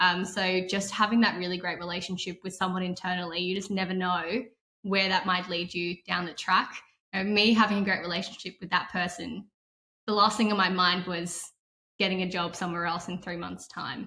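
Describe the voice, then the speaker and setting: A woman talks at a fairly quick pace in a bright, sharp tone, her intonation flat and monotone. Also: medium pitch for a woman. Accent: slight non-native. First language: not English. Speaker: tech sales professional. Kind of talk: interview answer.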